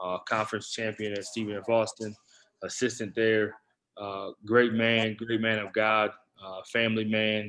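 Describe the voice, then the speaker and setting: Against a quiet background, a man with a fairly low pitch and a bright, sharp tone speaks at a moderate pace in a monotone, flat intonation. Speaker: podcast host. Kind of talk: podcast introduction.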